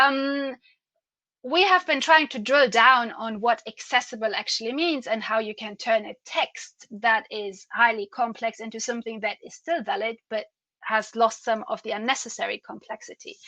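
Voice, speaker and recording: A woman with a German accent speaks in a bright, sharp tone. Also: fairly high pitch for a woman, ordinary pitch variation, moderate pace, big swings in loudness, dry, close sound with no echo. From Germany. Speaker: patient advocate. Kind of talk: conference presentation.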